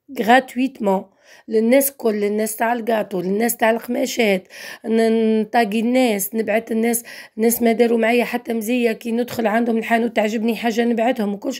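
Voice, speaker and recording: The speaker goes at a moderate pace with monotone, flat intonation. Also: woman. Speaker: online fabric and dress seller. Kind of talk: casual vlog sales talk.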